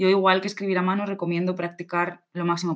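At a fairly quick pace, a woman with a plain, everyday voice speaks at medium pitch. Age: 20s. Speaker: podcast co-host, civil servant. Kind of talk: casual chat.

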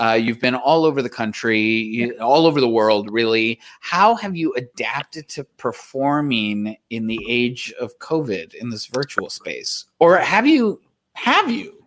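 A man's medium-pitched voice at a fairly slow pace, with lively intonation. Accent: American. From South Texas. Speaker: podcast co-host. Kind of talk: casual interview.

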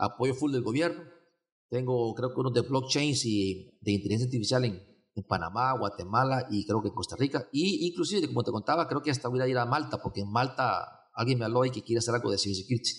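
With ordinary pitch variation, a man rattles along at a very fast pace. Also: medium pitch for a man. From Honduras, San Pedro Sula. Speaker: event organizer, cybersecurity summit. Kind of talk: casual interview. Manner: halting, many repetitions and fillers.

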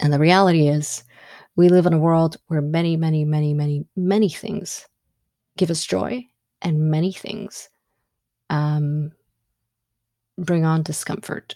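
A woman's very deep, low, dark and mellow voice with an Ethiopian accent, at a fairly slow pace with long, frequent pauses and ordinary pitch variation. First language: Amharic. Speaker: podcast host. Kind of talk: solo monologue. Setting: studio microphone, audio only. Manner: halting with many fillers.

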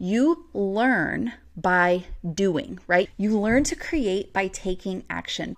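A woman with a normal speaking voice at a medium pitch is heard on a very clean recording with a silent background. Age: 30s. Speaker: podcast host and business coach. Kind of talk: solo podcast tutorial.

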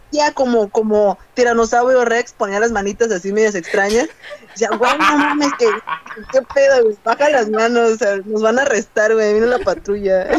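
Fairly high-pitched and animated, this woman's voice comes through noticeable background noise. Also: ordinary pitch variation, moderate pace. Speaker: podcast guest. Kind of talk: casual chat. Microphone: choppy audio, too far from mic.

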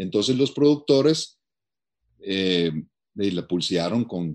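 A man talks with lively intonation at a fairly low pitch and a fairly slow pace. The background is quiet. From Italy. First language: Italian (speaking Spanish). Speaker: film educator. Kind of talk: casual chat.

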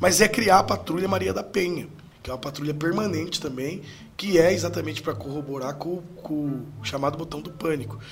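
A man's fairly high voice with lively intonation and big swings in loudness, amid noticeable background noise and audible room echo. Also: fairly quick pace. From Brazil, Sorocaba (São Paulo state). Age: 30s. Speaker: mayoral candidate and university lecturer. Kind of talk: political interview.

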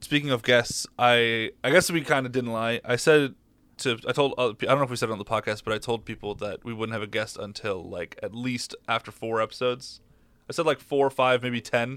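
A man with a normal speaking voice talks at a fairly quick pace and medium pitch with fairly even intonation, in a very clean recording with a silent background. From mid-Michigan, US. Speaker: podcast co-host. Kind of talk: casual chat.

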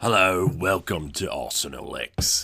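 In a put-on character voice with a British accent, a man speaks raspy and very deep at a fairly slow pace on a very clean recording with a silent background.

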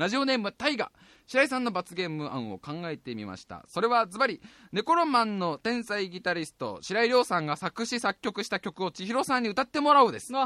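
At a fairly quick pace, the voice is raised and projected, bright and sharp in tone, animated, with very wide pitch swings and a dry, close sound with no echo. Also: man, high pitch for a man, big swings in loudness. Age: 20s. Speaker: radio podcast host, musician. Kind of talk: casual chat.

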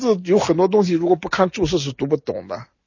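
A man talking at a fairly quick pace. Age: 60s. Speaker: historian. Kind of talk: interview. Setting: remote via phone.

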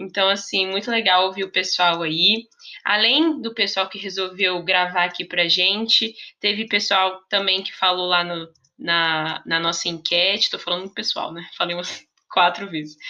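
This woman has a bright, sharp tone and fairly even intonation. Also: medium pitch for a woman, moderate pace. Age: 20s. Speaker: teacher and book podcaster. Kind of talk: casual solo podcast monologue.

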